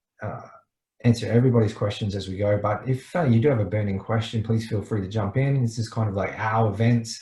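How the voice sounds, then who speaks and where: In an Australian accent, a man talks at a very fast pace with medium pitch. His tone is dark and mellow, somewhat breathy, with fairly even intonation. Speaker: startup mentor. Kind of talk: online presentation.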